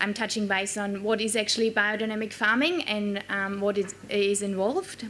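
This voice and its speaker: The voice has a German accent and a bright, sharp tone. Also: woman. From Germany. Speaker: quality manager at a dairy farm. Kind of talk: conference keynote talk. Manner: halting, many fillers.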